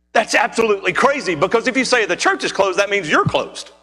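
A man's raised, projected voice at a fairly quick pace. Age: 40s. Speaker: pastor. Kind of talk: sermon. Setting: church. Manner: animated.

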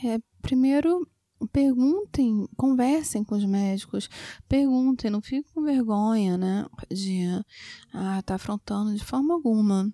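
A woman's dark, mellow tone at a fairly high pitch and fairly slow pace, in a dry, close sound with no echo on a very clean recording with a silent background. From Rio de Janeiro, Brazil. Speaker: gynecologist. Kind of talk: expert interview.

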